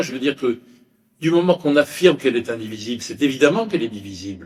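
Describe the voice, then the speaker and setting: His pitch is medium. A man is the one talking. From France. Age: 80s+. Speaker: lecturer. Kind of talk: Q&A answer after lecture. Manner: halting, many hesitations.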